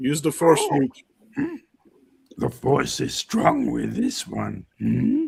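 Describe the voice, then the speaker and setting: Using a put-on character voice, a man speaks at a very slow pace with long, frequent pauses. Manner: cryptic, slow, with inverted speech.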